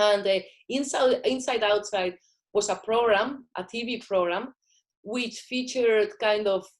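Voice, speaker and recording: A woman with a Spanish accent speaks at a medium pitch with ordinary pitch variation. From Spain. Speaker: filmmaker. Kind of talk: interview.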